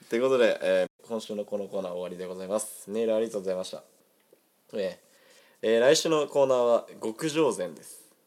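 A man's very fast, animated delivery with big swings in loudness. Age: 20s. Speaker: amateur radio host. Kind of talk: casual chat.

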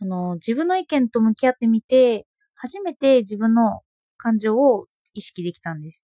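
A dark, mellow tone at a moderate pace, with very wide pitch swings and big swings in loudness. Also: woman. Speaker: philosophy blogger and podcaster. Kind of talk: personal monologue podcast. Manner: hesitant, many fillers.

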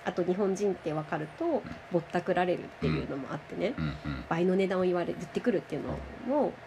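Over noticeable background noise, a woman speaks very fast at a medium pitch with ordinary pitch variation. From Japan. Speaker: language teacher. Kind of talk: interview. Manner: animated.

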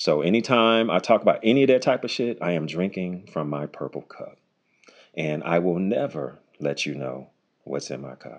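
With an animated tone and vocal fry, a man speaks in a very deep, low pitch that makes very wide swings. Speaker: podcast host and comedian. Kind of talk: casual solo podcast monologue, explicit. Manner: animated, casual, profane, conversational.

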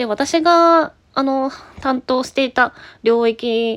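A woman's high voice with lively intonation. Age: 30s. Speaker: IT company employee, podcaster. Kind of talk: casual solo talk answering listener mail.

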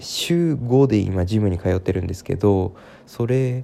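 A man with a plain, everyday voice talks at a fairly slow pace, his fairly low pitch showing ordinary variation. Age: 20s. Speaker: podcaster. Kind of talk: casual monologue. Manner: many fillers, unhurried.

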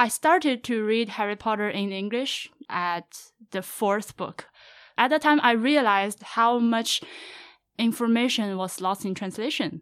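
In a Chinese accent, a woman speaks at a fairly slow pace with a fairly high pitch, recorded very cleanly with a silent background. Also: ordinary pitch variation. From central China. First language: Mandarin Chinese. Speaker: podcaster. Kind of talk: casual interview.

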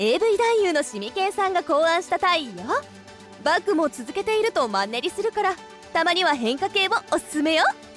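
Over faint background music, a woman does a put-on character voice at an extremely high pitch, with big pitch swings, a fairly bright tone and a fairly quick pace.

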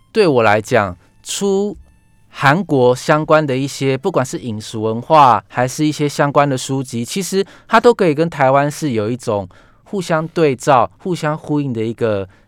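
A plain, everyday voice from a man, fairly high in pitch, with lively intonation at a moderate pace. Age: 30s. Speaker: book editor. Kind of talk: radio interview. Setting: radio studio.

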